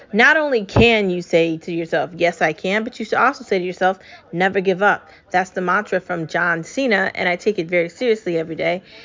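In an animated, upbeat tone, a woman speaks at a fairly quick pace and medium pitch with ordinary pitch variation, while background noise is noticeable. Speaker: podcast host. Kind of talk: solo monologue podcast. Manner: upbeat motivational.

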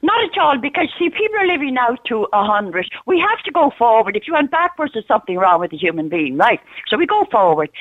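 With an Irish accent and an animated tone, a woman pitched high races at a very fast pace with hardly any pauses and very wide pitch swings. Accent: Irish (Louth). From Ireland, Dundalk. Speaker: regular radio caller. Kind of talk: talk radio call-in. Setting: phone call.

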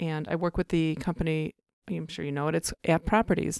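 Recorded dry and close with no echo and a silent background, a woman with an American accent talks at a fairly quick pace with fairly even intonation. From Chicago area. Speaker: real estate broker. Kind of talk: interview.

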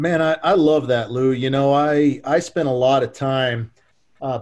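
A man speaks in a normal speaking voice at a medium pitch with fairly even intonation. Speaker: podcast host. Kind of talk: interview.

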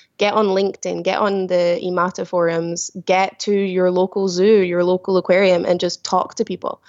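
A woman with a Glasgow accent speaks at a moderate pace and a medium pitch in a flat monotone, with very even loudness and hardly any pauses. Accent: Scottish (Glasgow area). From Scotland, village near Glasgow. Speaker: killer whale trainer and author. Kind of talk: interview. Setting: remote call.

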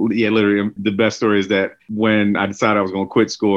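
A man with an American accent speaks at a fairly quick pace, his fairly low voice held in a monotone, flat intonation. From West Philadelphia. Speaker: chef and restaurant owner. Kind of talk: casual interview.

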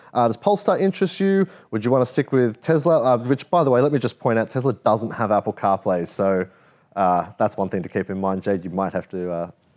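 On a very clean recording with a silent background, a man with an Australian accent talks at a fairly quick pace with a medium pitch and very wide pitch swings. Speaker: car podcast host. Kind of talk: casual chat.

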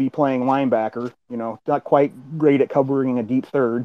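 At a moderate pace and with fairly even intonation, a man talks in an unremarkable speaking voice. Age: 30s. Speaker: college football coach. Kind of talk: casual chat. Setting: call-in to live online audio room.

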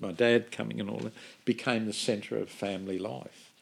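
Fairly even intonation from a man in an Australian accent. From Sydney, Australia. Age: 70s. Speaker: minister and charity founder. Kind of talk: casual interview conversation.

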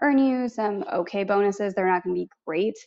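This woman has an ordinary speaking voice with a fairly high pitch and an American accent. She talks at a moderate pace with ordinary pitch variation. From US Midwest, Missouri. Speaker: travel points coach and podcaster. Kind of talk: casual interview.

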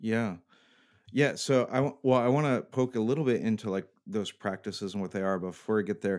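The man has an unremarkable speaking voice, medium in pitch with ordinary variation. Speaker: podcast host. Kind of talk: casual chat. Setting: home bunker, recording remotely.

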